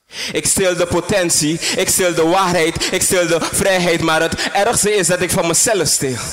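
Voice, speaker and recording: Over music in the background, a man speaks in a high pitch with a dramatic tone, fairly even intonation and very even loudness. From Suriname. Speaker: spoken word poet. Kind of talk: spoken word poem performance, intense and confessional. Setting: stage with audience. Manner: dramatic, slow and deliberate with pauses, repeating lines for emphasis. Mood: somber, intense. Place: stage.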